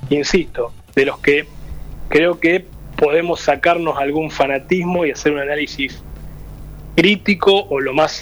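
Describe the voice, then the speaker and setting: A man's fairly high-pitched, ordinary speaking voice with fairly even intonation. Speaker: local political candidate. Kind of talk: radio panel discussion.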